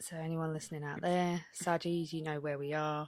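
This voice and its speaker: In a northern English accent, a woman speaks in a very deep, low pitch with monotone, flat intonation, recorded very cleanly against a silent background. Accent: northern English twang. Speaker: darts player and podcast co-host. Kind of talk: casual chat.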